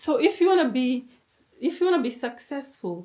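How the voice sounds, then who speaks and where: At a moderate pace, a woman with a non-native accent speaks in a dark, mellow tone. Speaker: motivational YouTuber. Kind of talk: motivational talk.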